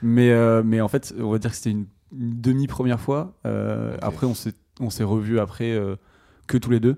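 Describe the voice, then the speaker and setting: Over a silent background in a very clean recording, a man with a dark, mellow tone speaks at medium pitch with fairly even intonation and long, frequent pauses. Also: moderate pace. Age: 20s. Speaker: amateur filmmaker. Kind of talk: casual chat.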